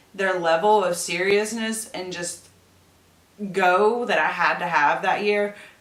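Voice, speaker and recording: A woman speaks with audible echo from the room. Background noise is noticeable. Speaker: beauty YouTuber. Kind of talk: tutorial. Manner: casual, filler-heavy.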